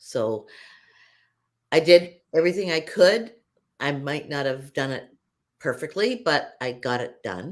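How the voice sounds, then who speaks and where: Very deep and low in pitch, a woman speaks at a fairly slow pace with very wide pitch swings, big swings in loudness, and long, frequent pauses. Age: 70s. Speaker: fitness influencer. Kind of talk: interview answer.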